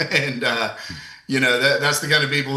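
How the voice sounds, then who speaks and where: A man talks over noticeable background noise. Room echo is audible. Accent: American. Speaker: commission chair. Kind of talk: public meeting chairing. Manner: passionate, intense.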